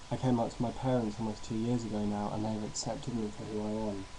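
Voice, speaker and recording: A man talks at a very fast pace in a fairly low pitch with monotone, flat intonation. Noticeable background noise is present. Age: 20s. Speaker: university student. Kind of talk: personal testimony to webcam.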